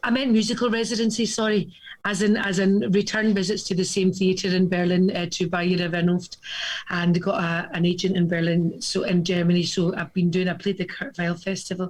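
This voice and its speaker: A woman with a Glasgow accent, medium pitch and a fairly quick pace. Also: fairly even intonation. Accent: Scottish (Glasgow area). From Scotland. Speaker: cabaret singer. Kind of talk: casual chat.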